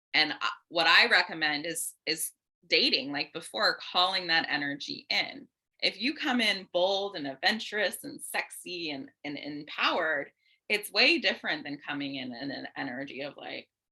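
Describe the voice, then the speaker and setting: A woman with a fairly low pitch speaks in an animated tone, her loudness swinging widely. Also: lively intonation, moderate pace. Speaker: dating and relationship coach. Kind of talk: casual chat.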